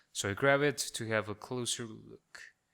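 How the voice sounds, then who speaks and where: A man with a non-native accent speaks at a moderate pace and medium pitch, with ordinary pitch variation and a bright, sharp tone, in a very clean recording with a silent background. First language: not English. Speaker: gamer, let's player. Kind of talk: let's play commentary. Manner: joking, sarcastic.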